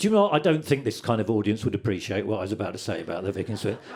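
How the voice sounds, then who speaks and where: Speaking with very wide pitch swings, a man's voice rises and falls sharply. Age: 60s. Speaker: comedian. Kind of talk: stand-up. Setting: stage with audience.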